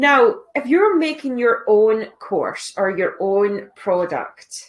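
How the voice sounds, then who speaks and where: Here a woman with a Scottish accent talks at a high pitch. Her pace is very slow, with very wide pitch swings. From Scotland. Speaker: online business coach. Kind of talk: live stream tutorial. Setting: live stream. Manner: casual.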